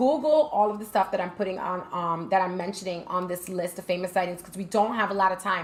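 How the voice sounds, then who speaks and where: There is noticeable background noise as a woman speaks in an animated tone. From New York, Brooklyn. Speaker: gaming streamer. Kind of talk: live stream talk.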